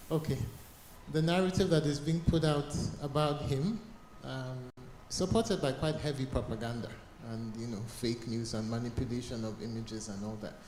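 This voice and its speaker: With audible room echo, a man of medium pitch speaks with lively intonation at a moderate pace, taking long, frequent pauses. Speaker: conference audience member. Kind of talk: audience comment. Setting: cold conference hall.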